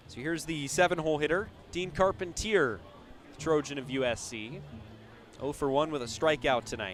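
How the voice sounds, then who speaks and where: Lively intonation at a moderate pace, with long, frequent pauses, big swings in loudness and music in the background. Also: man, fairly high pitch for a man. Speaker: baseball radio play-by-play announcer. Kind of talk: live baseball play-by-play radio broadcast.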